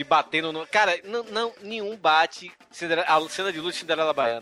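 Music plays behind a fairly high-pitched man who speaks at a fairly quick pace with lively intonation, in a dry, close sound with no echo. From Brazil, Bahia (Salvador). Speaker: podcaster guest. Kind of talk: casual chat. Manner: animated.

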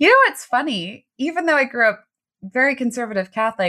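With an American accent, a woman talks in a bright, sharp tone and lively intonation on a very clean recording with a silent background. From US East Coast, Baltimore. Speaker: transformational coach. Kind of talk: interview, personal testimony.

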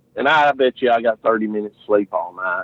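A man is speaking. He has a Southern US accent. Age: 40s. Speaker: barbecue competitor and insurance agent. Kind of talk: casual interview. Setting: outside his office, remote call.

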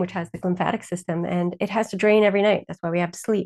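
This is a woman with an ordinary speaking voice at a medium pitch. Her intonation is fairly even, and the sound is dry and close with no echo. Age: 50s. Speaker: Chinese and functional medicine practitioner. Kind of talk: interview.

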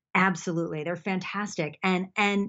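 A woman talks at a moderate pace in an unremarkable speaking voice. Her pitch sits in the middle of her range and moves about normally. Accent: American. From US, Buffalo New York. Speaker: athletic trainer and physical therapist. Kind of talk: interview. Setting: video call.

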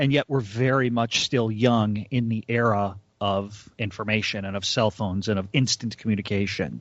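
With an American accent, a man in an ordinary speaking voice talks at a moderate pace and fairly low pitch, with fairly even intonation and hardly any pauses. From US North, suburbs. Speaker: podcast co-host. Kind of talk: casual chat.

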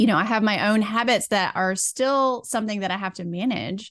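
A woman talks at medium pitch with ordinary pitch variation. Hers is an unremarkable speaking voice. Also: quiet background. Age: 40s. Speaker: burnout recovery and women's health coach. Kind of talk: casual interview chat.

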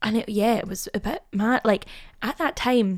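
The speaker has a Glasgow accent. Pitch varies in an ordinary way. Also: woman. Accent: Scottish (Glasgow). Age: young. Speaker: actress. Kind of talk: casual chat.

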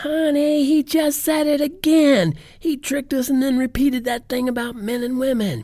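A put-on character voice at a moderate pace. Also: man, extremely high pitch for a man. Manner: mocking, indignant.

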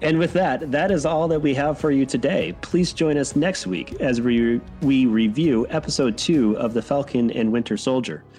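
Over music in the background, a man with an American accent speaks at a medium pitch with lively intonation. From Wisconsin. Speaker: podcast host.

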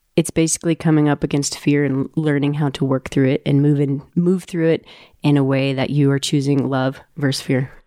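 Recorded very cleanly with a silent background and a dry, close sound with no echo, a woman speaks at a moderate pace in a very deep, low voice with a dark, mellow tone, fairly even intonation and very even loudness. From Colorado. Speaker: mountain guide. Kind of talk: casual chat.

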